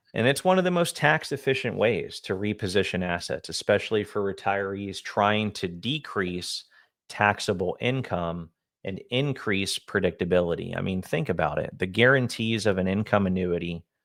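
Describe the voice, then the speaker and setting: On a very clean recording with a silent background, a man with a plain, everyday voice talks at a moderate pace, his fairly low pitch showing ordinary variation. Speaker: annuity and retirement income advisor. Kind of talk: casual co-host discussion on a finance video.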